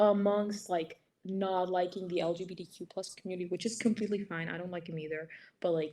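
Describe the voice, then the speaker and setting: With an American accent, a woman talks using fairly even intonation. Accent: American accent, never lived in US. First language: Greek. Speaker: stranger in online video chat. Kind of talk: casual chat. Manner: halting, many fillers.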